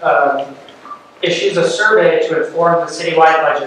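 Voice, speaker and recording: Over light background noise and strong room echo, a man with a high pitch talks at a moderate pace with fairly even intonation. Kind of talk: meeting presentation. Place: meeting room. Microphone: camera far.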